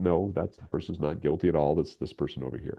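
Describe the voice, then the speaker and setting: A man talks at a very fast pace in a very deep, low voice. Vocal fry runs through his speech. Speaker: radio drama writer and voice actor. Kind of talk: interview.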